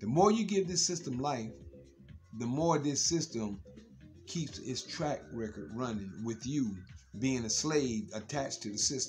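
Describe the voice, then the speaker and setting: A man talks at a fairly slow pace. Clear music runs behind him. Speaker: social media commentator. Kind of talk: casual vlog monologue. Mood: earnest, warning tone. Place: home room. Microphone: phone near.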